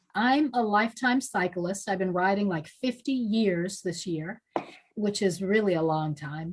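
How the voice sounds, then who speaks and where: Somewhat breathy, the voice moves with lively intonation. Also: woman, medium pitch for a woman. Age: 60s. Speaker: lifetime cyclist. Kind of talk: casual chat.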